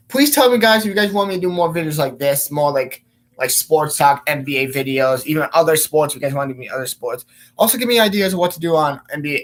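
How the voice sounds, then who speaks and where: A man with a slight Polish accent talks at a very fast pace. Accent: slight Polish accent on some words. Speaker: sports vlogger. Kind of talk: casual vlog sports talk. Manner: hesitant, many fillers.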